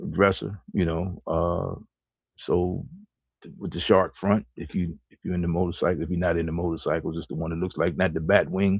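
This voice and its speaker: At a moderate pace, the voice shows big swings in loudness. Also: man. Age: 60s. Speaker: co-host of a live talk show. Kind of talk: casual chat.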